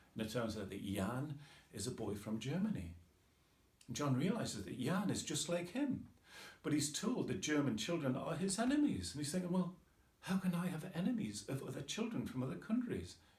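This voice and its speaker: A man talks at a fairly quick pace with a fairly high pitch, very wide pitch swings and vocal fry. Room echo is audible. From northeast England, Tyneside. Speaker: author. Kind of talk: casual talk about his book. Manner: informal, with hesitations.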